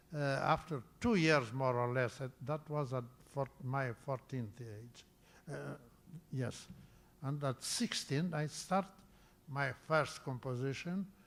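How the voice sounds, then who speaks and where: A man with a non-native accent speaks at a very slow pace, with long, frequent pauses. His pitch variation is ordinary. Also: fairly high pitch for a man. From Romania (Bessarabia). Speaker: composer. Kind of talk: interview. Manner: halting.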